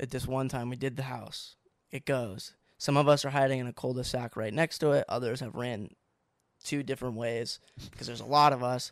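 An unremarkable speaking voice from a man with an American accent, medium in pitch, fairly quick and fairly even in intonation, with big swings in loudness, in a very clean recording with a silent background. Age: 20s. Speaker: former youtube channel member. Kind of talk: casual chat.

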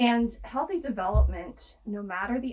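A woman with a Midwestern US accent speaks with vocal fry and ordinary pitch variation. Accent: US Midwest. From Kansas. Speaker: health policy advocate. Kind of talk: interview.

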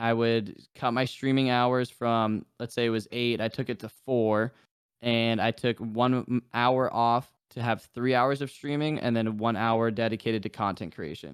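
With an American accent and an unremarkable speaking voice, a man talks at a fairly slow pace with hardly any pauses. His medium pitch and fairly even intonation come through on a very clean recording with a silent background. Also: dry, close sound with no echo. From New Hampshire, US. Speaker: gaming streamer. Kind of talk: casual chat.

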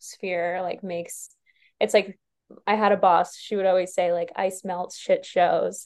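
A woman with an American accent talks at a fairly slow pace in a normal speaking voice, at a medium pitch with fairly even intonation. The background is quiet. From New York. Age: 20s. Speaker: podcast guest. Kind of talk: casual chat.

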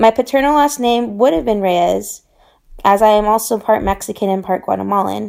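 On a very clean recording with a silent background, a woman speaks at a moderate pace. She has an ordinary speaking voice, fairly high in pitch with ordinary pitch variation. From Southern California, but moved around a lot. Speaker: international development professional. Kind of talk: personal storytelling interview.

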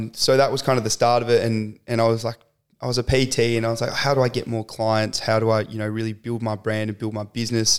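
Over a silent background in a very clean recording, a man speaks with a strong Australian accent. He talks very fast with monotone, flat intonation. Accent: broad Australian. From rural Victoria, Australia. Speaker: podcast guest, social media content creator and athlete trainer. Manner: casual, uses lots of filler words.

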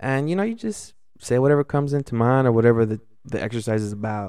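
The man has a plain, everyday voice with an American accent, a medium pitch and ordinary pitch variation. He speaks at a fairly quick pace on a very clean recording with a silent background. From Los Angeles, California. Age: 20s. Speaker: restaurant server. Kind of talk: casual chat.

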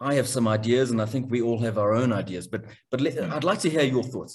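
The speaker is a man with a medium-pitched voice. It comes across somewhat breathy. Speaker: podcast host. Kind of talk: interview. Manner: halting, many repetitions.

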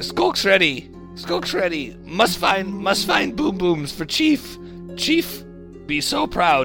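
With clear music in the background, a man puts on a character voice and speaks at a very slow pace. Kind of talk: simple, third-person speech. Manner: primitive, broken speech.

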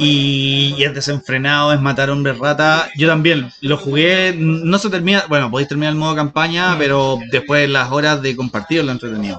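This man speaks with a Chilean accent at a fairly high pitch, with ordinary pitch variation. He keeps a moderate pace with hardly any pauses, over noticeable background noise. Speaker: podcast co-host. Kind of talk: casual chat. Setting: in a shop.

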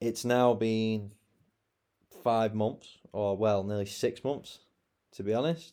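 On a very clean recording with a silent background, a man with a dark, mellow tone speaks at a medium pitch and a very slow pace, his intonation fairly even and his speech marked by long, frequent pauses. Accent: British. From England. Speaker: podcaster and online English teacher. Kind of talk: casual solo monologue. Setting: alone in bedroom recording on laptop.

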